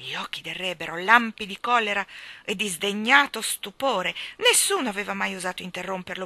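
The recording is of straightforward reading aloud.

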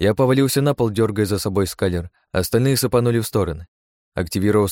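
Quiet background behind a natural reading voice, its pitch variation ordinary

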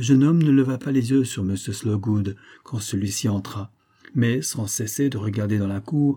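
The delivery is plain reading aloud. Pitch moves up and down in an ordinary way.

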